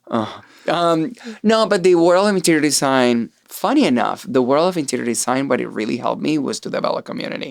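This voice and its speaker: Very wide pitch swings mark this fairly quick speech delivered in a Venezuelan accent. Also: man, fairly high pitch for a man. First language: Spanish. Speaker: artist. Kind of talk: interview conversation.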